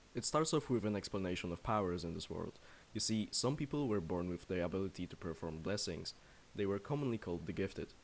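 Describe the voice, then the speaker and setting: Lively in intonation, a man rattles along at a very fast pace with a fairly low pitch. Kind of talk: manga review commentary. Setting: home recording, poor audio. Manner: stuttering.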